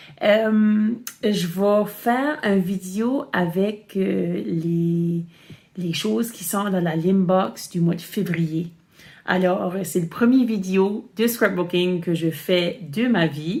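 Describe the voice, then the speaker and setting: A woman speaks very slowly in a somewhat breathy voice. Her pitch is medium, with ordinary variation. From Acadian Nova Scotia (Chéticamp, Cape Breton). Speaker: crafting video host. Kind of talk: tutorial. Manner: hesitant, many fillers.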